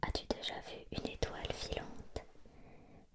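Someone whispers in a soft-spoken way over loud background noise. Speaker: reader of a children's book. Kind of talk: reading aloud, bedtime-story style. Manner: soft ASMR whisper, reading aloud.

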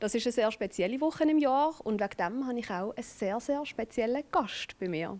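Her fairly high voice moving quickly with hardly any pauses, a woman speaks with lively intonation. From Switzerland. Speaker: talk show host. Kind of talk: TV talk show host intro. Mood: warm, friendly. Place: studio. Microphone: handheld.

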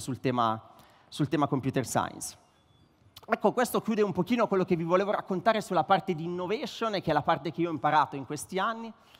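A man talking at a very fast pace with lively intonation, faint music in the background. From northern Italy, Varese; northern Italy. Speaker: startup co-founder, tech executive; speaker. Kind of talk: conference speech. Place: stage. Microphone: headset.

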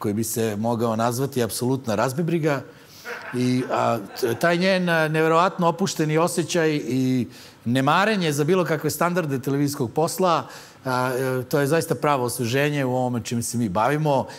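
The pace is fairly quick. A man speaks, his pitch moving in an ordinary way. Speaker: comedy show host. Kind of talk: comedic monologue commentary. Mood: dry ironic deadpan. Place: studio. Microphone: lapel.

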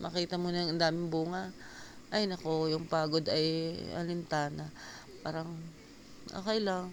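A woman talks at a moderate pace in a fairly low pitch with monotone, flat intonation. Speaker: gardening vlogger. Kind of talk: vlog narration. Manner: casual, halting with fillers.

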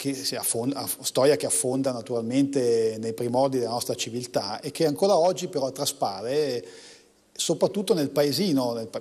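A man with a northern Italian accent speaks at a moderate pace in a dark, mellow tone. The background is quiet. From northern Italy, Como; northern Italy. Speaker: economics professor and poet; economics professor, poet. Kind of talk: TV interview. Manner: halting, many restarts. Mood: calm, reflective, warm. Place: studio.

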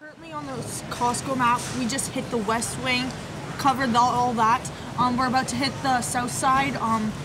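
A woman at a moderate pace with ordinary pitch variation, over noticeable background noise. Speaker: vlogger sister. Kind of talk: casual vlog chat. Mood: playful, joking. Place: shop. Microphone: phone near.

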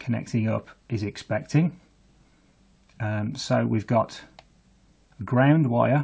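In a quiet background, a man speaks fairly slowly in a somewhat breathy voice. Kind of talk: tutorial. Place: workshop.

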